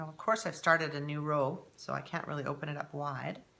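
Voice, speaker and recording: A woman with a Canadian accent speaks in an animated tone at a moderate pace. The background noise is noticeable. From Canada. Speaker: knitting podcaster. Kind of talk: casual chat.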